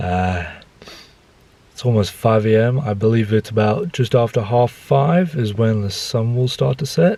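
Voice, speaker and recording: A man with an Australian accent speaks at a moderate pace and a medium pitch, with ordinary pitch variation. Noticeable background noise runs underneath. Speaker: photography vlogger. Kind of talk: vlog narration. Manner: soft-spoken.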